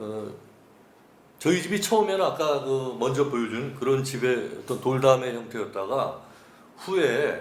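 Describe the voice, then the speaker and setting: With audible room echo, a man speaks at a fairly slow pace and a fairly high pitch, his intonation lively and his pauses long and frequent. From Seoul, Korea. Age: 60s. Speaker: author interviewee. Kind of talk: oral history interview. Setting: cultural center interview room. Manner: hesitant, many fillers.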